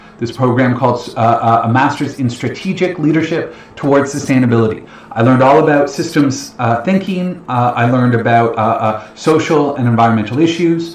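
A man with a Canadian accent speaks at a moderate pace and very even loudness, with ordinary pitch variation, audible room echo and light background noise. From Ontario, Canada (London, Ontario). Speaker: financial educator, investment planner. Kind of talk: webinar presentation. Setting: online livestream webinar. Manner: casual, filler-heavy. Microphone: webcam.

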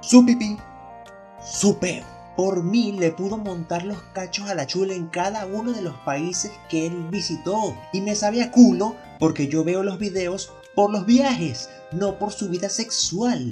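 A man's high-pitched voice at a fairly slow pace, with music in the background. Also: ordinary pitch variation. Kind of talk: casual humorous commentary to camera.

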